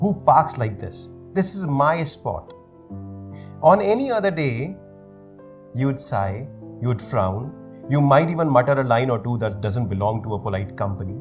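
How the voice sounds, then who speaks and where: Music plays in the background as a man speaks at a medium pitch with very wide pitch swings. He leaves long, frequent pauses. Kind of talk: spoken word poetry performance. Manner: slow, reflective.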